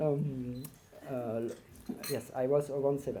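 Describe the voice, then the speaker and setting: This speaker has a French accent. The pace is fairly slow. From northern France. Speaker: marathon swimmer, award inductee. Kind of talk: acceptance speech. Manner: halting.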